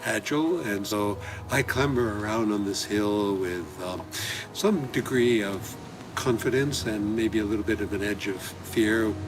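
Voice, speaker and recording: At a fairly slow pace, a man speaks in a fairly low pitch with ordinary pitch variation over noticeable background noise. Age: 70s. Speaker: amateur gardener. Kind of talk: self-filmed garden tour narration.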